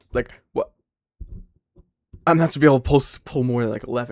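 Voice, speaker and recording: A man speaks quietly with fairly even intonation, the sound dry and close with no echo. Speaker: streamer reacting to another streamer. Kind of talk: casual reaction commentary. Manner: quiet talker.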